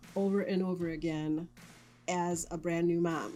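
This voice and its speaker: Music plays in the background. The intonation is fairly even. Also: woman. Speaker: lifestyle vlogger. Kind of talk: personal testimony. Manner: hesitant.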